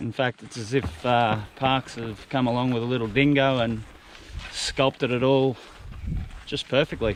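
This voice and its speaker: With an Australian accent, a man talks at a fairly slow pace with fairly even intonation against noticeable background noise. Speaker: hiking vlogger. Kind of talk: travel vlog narration. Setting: outdoors. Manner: casual, humorous.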